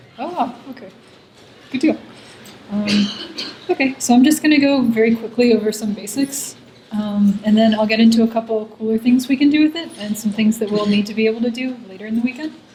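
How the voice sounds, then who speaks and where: Soft-spoken, a woman with a fairly high pitch and ordinary pitch variation talks at a fairly quick pace with long, frequent pauses, over noticeable background noise. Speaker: coding workshop instructor. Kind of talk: lecture.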